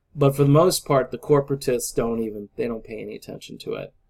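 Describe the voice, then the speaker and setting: A man speaks with an American accent at medium pitch. His intonation stays fairly even. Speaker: political vlogger. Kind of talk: casual monologue vlog. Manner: halting, with filler words.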